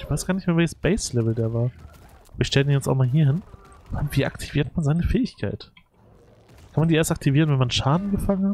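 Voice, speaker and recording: Pitched fairly high, a man talks at a very fast pace with lively intonation. Long, frequent pauses break up his speech. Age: 30s. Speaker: gaming YouTuber. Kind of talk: let's play commentary. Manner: casual, many filler words.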